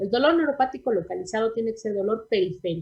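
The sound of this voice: This woman talks fast in a fairly high voice. Her tone is slightly mellow with a husky, rough edge.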